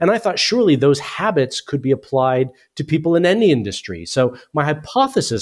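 On a very clean recording with a silent background, a man with a normal speaking voice talks fairly quickly at a fairly high pitch, his intonation lively. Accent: American. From US. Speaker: author and business educator. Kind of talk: radio interview.

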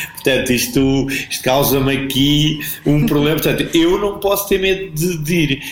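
Against noticeable background noise and audible room echo, a man speaks in a fairly high voice. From Portugal, Alentejo (Portalegre district). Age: 50s. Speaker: businessman and PR professional, traveller. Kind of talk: casual interview.

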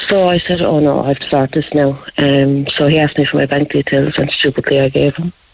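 A woman's very deep, low voice in an Irish accent, flat and monotone, at a fairly quick pace with hardly any pauses. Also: very even loudness. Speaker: caller, scam victim, mother. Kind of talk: phone-in call. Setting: phone call.

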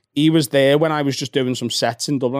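A man with a Liverpool accent talks at a very fast pace with a monotone, flat intonation. The recording is very clean with a silent background and a dry, close sound with no echo. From Liverpool, England. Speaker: comedian. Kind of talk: casual chat. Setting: studio.

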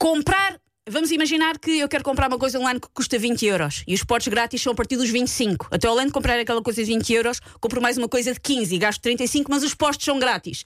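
Her voice high in pitch, a woman talks at a very fast pace with an animated tone and lively intonation. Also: very even loudness. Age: 40s. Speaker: radio host. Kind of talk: casual chat.

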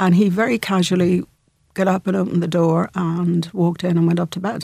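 In a Dublin accent, a woman speaks with a fairly low pitch and flat, monotone intonation. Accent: Irish (Dublin). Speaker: businesswoman and entrepreneur. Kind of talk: radio interview.

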